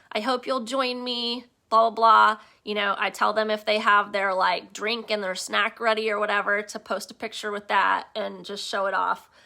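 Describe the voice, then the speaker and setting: In a very clean recording with a silent background, a bright, sharp voice moves at a moderate pace in a flat monotone while its loudness swings widely. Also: woman, fairly high pitch for a woman. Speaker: direct sales team leader. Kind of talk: live training session.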